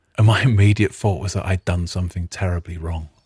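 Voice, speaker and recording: Somewhat breathy and with a British accent, the voice holds a fairly even intonation in a dry, close sound with no echo. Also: man. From Britain. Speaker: artist and podcaster. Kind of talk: storytelling podcast monologue.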